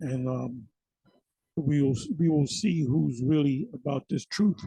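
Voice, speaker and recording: A man speaks in a dark, mellow, somewhat breathy tone at a fairly high pitch. His fairly slow delivery sounds dry and close, with no echo. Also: ordinary pitch variation. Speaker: religious video preacher. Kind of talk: religious monologue. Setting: recorded video.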